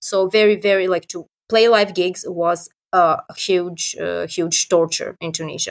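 A woman speaks in a Serbian accent with monotone, flat intonation. The sound is dry and close, with no echo. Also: medium pitch for a woman, fairly slow pace. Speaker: metal band singer and vocal teacher. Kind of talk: casual interview. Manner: laughs often.

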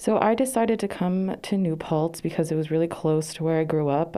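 A woman with an American accent speaks at a very deep, low pitch. She moves at a fairly quick pace with ordinary pitch variation. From Poughkeepsie, New York. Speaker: college student. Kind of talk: interview answers.

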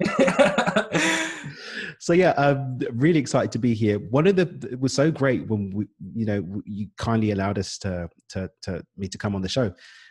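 This man speaks with a British accent at a moderate pace and a medium pitch. His pitch swings very widely. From East London, England. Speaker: business coach. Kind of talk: podcast interview.

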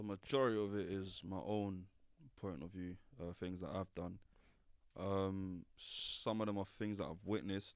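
A man with a London accent speaks at a moderate pace in a very deep, low pitch, his intonation fairly even. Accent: London Multicultural English. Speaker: drill rapper. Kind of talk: interview.

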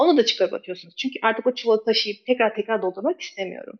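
At a very fast pace, a woman with a fairly high pitch and ordinary pitch variation speaks in a dry, close sound with no echo. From Turkey, Istanbul (born in Kabul). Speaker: ketogenic nutrition coach. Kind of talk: interview.

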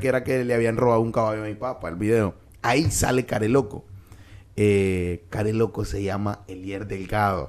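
At a moderate pace, a man with a Nicaraguan accent talks in a fairly low pitch with ordinary pitch variation. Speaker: comedian. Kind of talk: casual chat.

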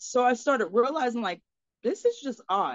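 In an American accent, a woman talks with an ordinary speaking voice. Her pitch variation is ordinary. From Florida, US. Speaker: life coach. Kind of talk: casual chat.

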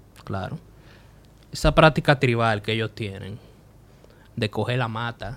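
This man's voice sits at a medium pitch. Its pitch varies in an ordinary way. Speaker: podcast host and comedian. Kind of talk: casual chat.

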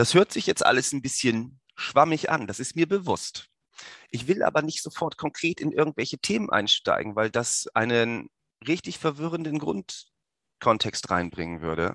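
This man's fairly high voice carries vocal fry and very wide pitch swings, recorded dry and close with no echo against a quiet background. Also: moderate pace. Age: 30s. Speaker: podcast host. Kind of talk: personal monologue.

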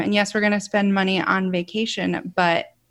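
A woman speaks with a Midwestern American accent at a medium pitch. The recording is very clean, with a silent background. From Ohio, US Midwest. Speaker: podcaster. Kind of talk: interview.

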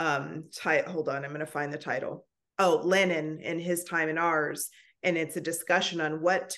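Fairly low in pitch, a woman speaks in a monotone, flat way. She goes at a fairly slow pace against a quiet background. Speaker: podcast co-host. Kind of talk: interview conversation.

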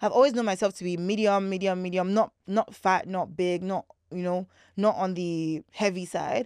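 Against a quiet background, a woman with a Nigerian accent speaks at a moderate pace, her medium pitch held in fairly even intonation. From Nigeria (Lagos). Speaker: content creator. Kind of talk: casual chat. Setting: studio.

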